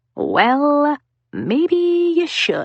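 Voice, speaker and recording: The voice is a put-on character. It sits at a high pitch. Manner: very slow, delighted.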